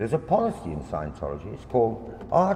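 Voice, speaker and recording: Spoken at a moderate pace, the voice carries audible room echo. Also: man. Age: 60s. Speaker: local campaigner. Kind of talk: public presentation. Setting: public meeting in a hall. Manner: impassioned.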